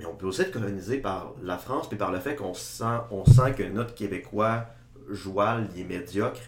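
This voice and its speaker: A man's somewhat breathy, fairly low voice at a moderate pace, with big swings in loudness and audible room echo. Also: ordinary pitch variation. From Quebec, Saguenay (Chicoutimi). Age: 20s. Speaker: political science student. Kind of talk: casual podcast discussion.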